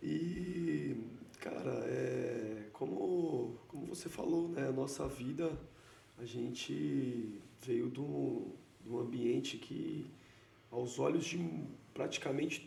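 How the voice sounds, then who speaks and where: Over noticeable background noise and audible room echo, a man talks at a very slow pace with long, frequent pauses. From Brazil. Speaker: entrepreneur. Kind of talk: casual interview.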